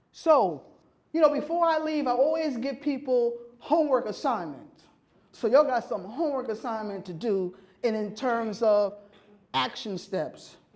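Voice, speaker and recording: A woman with an American accent, high-pitched and lively in intonation, at a moderate pace with audible room echo. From New York City. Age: 60s. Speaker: keynote speaker, urban farmer and food justice advocate. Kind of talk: keynote speech. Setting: conference stage with audience.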